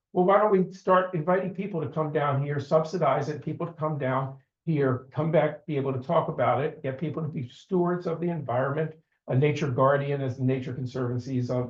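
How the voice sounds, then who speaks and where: A man speaks at a fairly quick pace in a fairly high, somewhat breathy voice with ordinary pitch variation. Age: 70s. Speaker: amateur astronomer presenting a trip report. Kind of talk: club meeting presentation. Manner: halting, many fillers and restarts.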